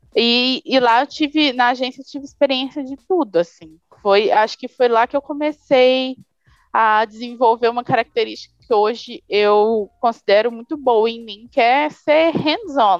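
In a dry, close sound with no echo, a woman with a high pitch speaks at a fairly slow pace with ordinary pitch variation. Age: 20s. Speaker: graphic designer. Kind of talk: casual interview.

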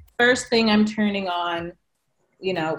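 At a fairly slow pace, a woman speaks in a normal speaking voice at medium pitch, with fairly even intonation. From California. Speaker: author, educator and poet. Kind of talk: casual chat.

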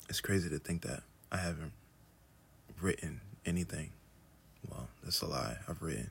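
A man's very deep, low voice with vocal fry, a moderate pace, ordinary pitch variation and long, frequent pauses. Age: 30s. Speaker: podcast host, artist. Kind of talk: solo casual monologue. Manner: laid-back, chill.

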